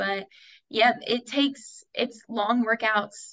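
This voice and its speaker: A woman with an American accent has a normal speaking voice, talking at a fairly slow pace with ordinary pitch variation. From US South, Tennessee (Dayton). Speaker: college track athlete. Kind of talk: interview.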